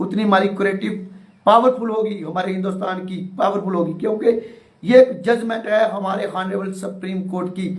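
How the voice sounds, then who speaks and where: A man speaks at a high pitch with fairly even intonation. Audible room echo and noticeable background noise surround the voice. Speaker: teacher union activist. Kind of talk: live stream address. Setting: live online session. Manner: halting, many fillers.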